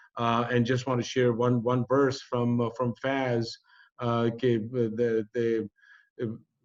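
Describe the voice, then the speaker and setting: A man with a Pakistani accent speaks at a fairly slow pace and medium pitch. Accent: South Asian (Pakistani) English. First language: Urdu or Punjabi. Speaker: community organizer. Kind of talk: closing remarks of online panel. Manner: halting.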